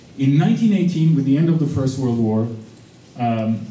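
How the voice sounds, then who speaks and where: A man talks at a fairly high pitch with ordinary pitch variation. The room echo is audible. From Turkey. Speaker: visiting professor. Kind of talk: lecture. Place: classroom.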